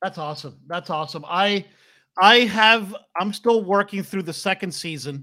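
A man's raised, projected voice, high and bright, sharp in tone, with big swings in loudness, on a very clean recording with a silent background. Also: ordinary pitch variation, moderate pace. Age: 40s. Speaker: podcast host and video game developer. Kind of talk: casual interview chat. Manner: halting, many fillers.

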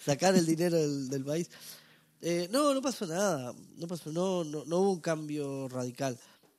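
On a very clean recording with a silent background, a man with a plain, everyday voice talks at a fairly slow pace, his fairly high pitch showing ordinary variation. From northern Uruguay (Salto). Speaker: stand-up comedian. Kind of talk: casual interview chat.

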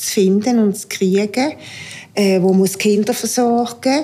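A woman talks at a very slow pace. Her tone is dark and mellow. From Aargau, Switzerland. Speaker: homemaker. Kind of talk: casual interview.

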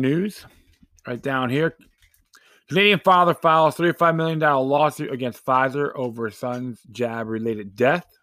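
A man talks at a moderate pace in a fairly high, bright and sharp voice with ordinary pitch variation. The recording is very clean, with a silent background. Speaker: podcast host. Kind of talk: angry political rant. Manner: sarcastic, indignant; informal, rambling, with fillers.

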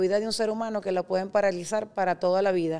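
A woman speaks in a plain, everyday voice at a medium pitch. Her intonation is fairly even. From Venezuela. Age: 40s. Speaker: startup founder. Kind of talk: interview conversation.

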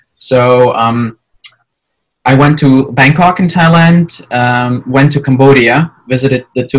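A man with a medium-pitched, somewhat breathy voice and ordinary pitch variation. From Ukraine. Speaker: exchange student. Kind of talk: interview.

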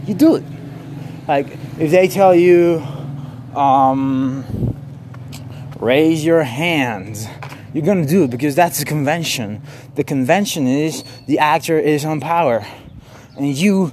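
A man talks at a very slow pace and a fairly high pitch, with ordinary pitch variation. Long, frequent pauses break his speech over noticeable background noise. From Mexico. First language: Spanish. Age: 20s. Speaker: podcaster and theater artist. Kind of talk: casual monologue. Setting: walking outdoors in the street. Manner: rambling, halting with fillers.

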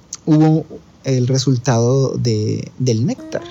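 At a very slow pace, a man speaks at a medium pitch with fairly even intonation over noticeable background noise. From Colombia. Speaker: traveler. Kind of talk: storytelling monologue. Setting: recording from India.

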